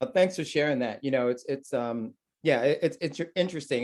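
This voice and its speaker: An American-accented man with a normal speaking voice, a fairly quick pace and ordinary pitch variation. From New York. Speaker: art critic and moderator. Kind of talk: panel discussion.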